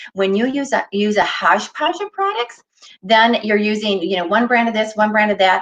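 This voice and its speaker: A woman talks at a moderate pace and medium pitch with ordinary pitch variation. She has a normal speaking voice. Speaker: beauty consultant. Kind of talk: product demonstration.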